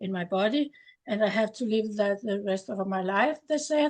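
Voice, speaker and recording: A woman with a Danish accent, fairly high pitch, and a fairly slow pace. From Denmark. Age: 70s. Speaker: distributor giving product testimony. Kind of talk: testimony. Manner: halting, many hesitations.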